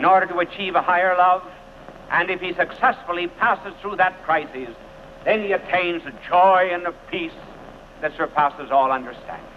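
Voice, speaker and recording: Over noticeable background noise, a man with an American accent speaks in a high pitch with ordinary pitch variation. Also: moderate pace. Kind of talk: televised sermon.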